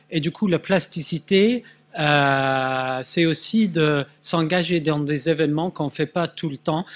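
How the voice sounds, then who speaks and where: The speech comes at a very slow pace with ordinary pitch variation, in a dry, close sound with no echo. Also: man, very clean recording, silent background. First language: Swedish (speaking French). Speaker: neuroscience researcher. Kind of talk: conference talk. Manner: halting, many hesitations.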